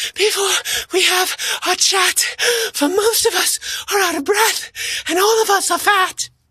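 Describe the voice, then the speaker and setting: In a put-on character voice with extremely high pitch, the speaker goes at a moderate pace with long, frequent pauses. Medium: read story.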